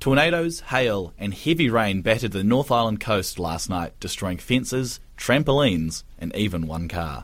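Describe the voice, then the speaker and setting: With a New Zealand accent, a man of fairly low pitch talks at a moderate pace with hardly any pauses, his pitch swinging very widely. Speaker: radio newsreader. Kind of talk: news reading, scripted bulletin. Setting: radio studio. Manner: formal, brisk, even-paced; occasionally stumbles and self-corrects.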